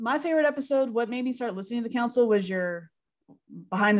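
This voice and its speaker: Over a quiet background, a woman speaks at a very fast pace. Her pitch varies in an ordinary way. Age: 30s. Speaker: podcast co-host, speech teacher. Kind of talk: casual chat. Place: home room. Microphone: studio mic.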